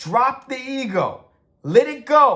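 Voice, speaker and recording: A man speaks loudly at an extremely high pitch. His tone is animated and his intonation lively. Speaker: author and TV writer giving content advice. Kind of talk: rant.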